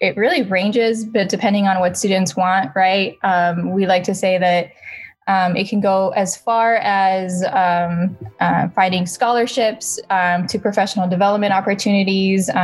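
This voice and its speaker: A woman speaks with an American accent in a somewhat breathy voice at a medium pitch. Her pace is moderate and her intonation fairly even. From El Paso, Texas. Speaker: student organization co-founder and director. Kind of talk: casual interview chat.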